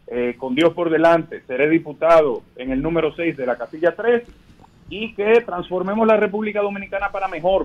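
Speaking at a fairly quick pace, a man with a high pitch uses ordinary pitch variation. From Dominican Republic. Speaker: politician, congressional candidate; politician, candidate. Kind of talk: radio interview by phone. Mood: earnest, conciliatory campaign tone. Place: studio.

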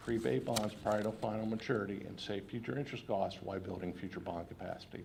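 Talking at a very fast pace, a man with a fairly low pitch shows vocal fry and ordinary pitch variation. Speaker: financial advisor presenting bond sale. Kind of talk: formal presentation to school board. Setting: public school board meeting.

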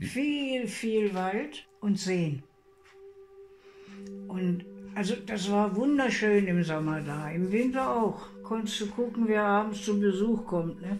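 With music behind her, a woman talks very slowly, leaving long, frequent pauses. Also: medium pitch for a woman, ordinary pitch variation. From East Prussia. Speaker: war refugee, eyewitness. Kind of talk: interview answer.

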